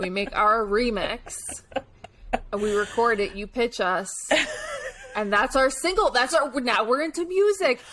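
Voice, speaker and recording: The speaker uses lively intonation at a fairly slow pace with long, frequent pauses over noticeable background noise. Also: woman, high pitch for a woman. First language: not English. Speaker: podcast co-host. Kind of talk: casual chat. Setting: video call.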